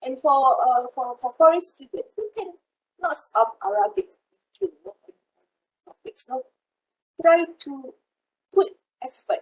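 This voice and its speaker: A woman with a Malaysian accent speaks at a moderate pace in a high pitch. Her pitch swings very widely, and the sound is dry and close with no echo. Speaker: university lecturer. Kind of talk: online lecture. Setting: video call.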